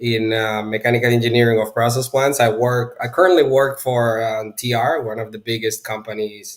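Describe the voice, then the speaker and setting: At a moderate pace with hardly any pauses, a man with a Spanish accent speaks at medium pitch and with fairly even intonation. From Venezuela. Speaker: pipe stress engineer. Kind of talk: livestream interview. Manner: halting with repetitions.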